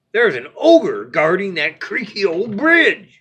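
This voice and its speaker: A put-on character voice with a fairly high pitch, growling along at a fairly slow pace. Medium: read story. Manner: snarling, rough.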